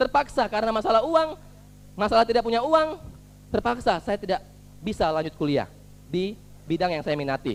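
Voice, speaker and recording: Pitch swings very widely in this man's voice. He keeps a fairly quick pace. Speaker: motivational speaker at business seminar. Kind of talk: motivational talk.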